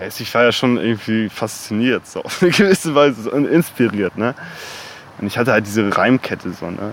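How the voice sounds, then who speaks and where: With noticeable background noise behind him, a man of medium pitch talks at a fairly quick pace with lively intonation. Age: 20s. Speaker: rapper. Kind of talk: interview.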